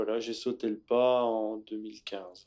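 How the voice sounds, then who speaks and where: A man is speaking. His pace is very slow. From Normandy, Bessin. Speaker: organic dairy farmer and local councillor. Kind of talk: casual interview. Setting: on his farm. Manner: hesitant, many fillers.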